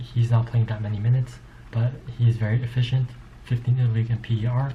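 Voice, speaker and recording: A somewhat breathy man with a dark, mellow tone, a medium pitch and a fairly quick pace. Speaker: sports commentator. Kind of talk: casual monologue. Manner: fast; animated.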